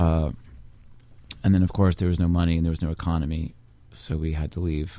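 Very deep and low in pitch, a man with an American accent speaks in a dark, mellow tone with long, frequent pauses. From Washington D.C. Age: 40s. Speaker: bass player. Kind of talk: casual chat.

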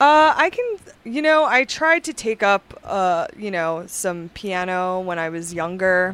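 At a fairly slow pace, a woman of medium pitch speaks with very wide pitch swings. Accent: Long Island. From Long Island, New York. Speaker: musician and DJ. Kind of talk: casual chat.

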